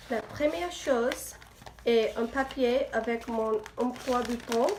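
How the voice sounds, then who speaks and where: A woman with an English accent talks at a very slow pace. Her pitch is high with ordinary variation, and there is noticeable background noise. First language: English (speaking French). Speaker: student vlogger. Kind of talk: casual vlog. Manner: halting.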